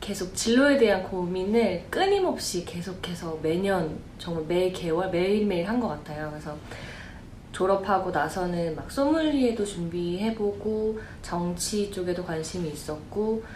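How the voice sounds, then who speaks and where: With audible room echo and noticeable background noise, a woman speaks at a medium pitch and a fairly slow pace. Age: 20s. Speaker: job seeker. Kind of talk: casual chat.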